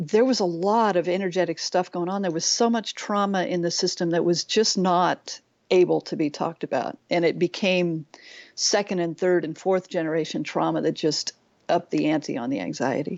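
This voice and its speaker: A woman with a plain, everyday voice and fairly low pitch speaks at a moderate pace with ordinary pitch variation. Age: 60s. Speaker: nature guide and life coach. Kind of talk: interview conversation.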